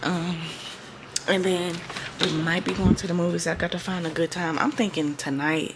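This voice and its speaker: Over noticeable background noise, a woman whispers at a moderate pace with long, frequent pauses. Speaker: lifestyle vlogger. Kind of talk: casual vlog narration. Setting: at home. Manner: whispering.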